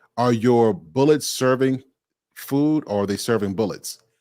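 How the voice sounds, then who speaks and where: At a moderate pace and medium pitch, a man talks in a normal speaking voice with ordinary pitch variation, on a very clean recording with a silent background. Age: 30s. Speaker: motivational speaker and coach. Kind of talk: interview.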